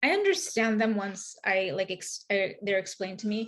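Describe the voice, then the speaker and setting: Speaking at a moderate pace, a woman uses fairly even intonation at a medium pitch. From Queens, New York. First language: Spanish. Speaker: author. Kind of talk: interview conversation. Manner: halting, many fillers.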